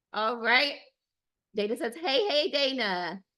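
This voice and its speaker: A woman speaks with a high pitch. Her pace is very slow. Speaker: dating coach. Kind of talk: live webinar. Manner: animated.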